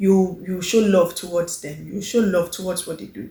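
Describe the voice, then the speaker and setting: A woman at medium pitch, fairly quick pace and fairly even intonation. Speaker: lifestyle vlogger. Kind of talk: casual vlog monologue. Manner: confident.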